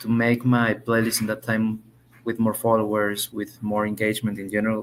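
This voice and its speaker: Speaking in a Spanish accent, a man's voice sits at a medium pitch. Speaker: English language student. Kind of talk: conversation lesson. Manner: halting.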